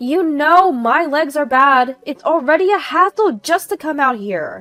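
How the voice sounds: In a put-on character voice, a woman speaks high and with a bright, sharp tone, at a fairly slow pace and with lively intonation, as faint music plays in the background.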